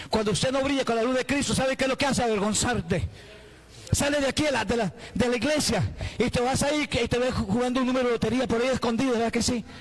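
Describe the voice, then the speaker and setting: Over noticeable background noise, a man with an extremely high pitch talks at a very fast pace with ordinary pitch variation. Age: 60s. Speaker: pastor. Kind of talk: sermon. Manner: animated.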